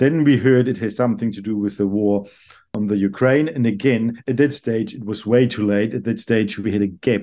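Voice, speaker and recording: This man has a German accent and a dark, mellow tone. He speaks at a moderate pace and medium pitch with ordinary pitch variation. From Germany, Karlsruhe. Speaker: economics professor. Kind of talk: interview. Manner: halting, repeats words.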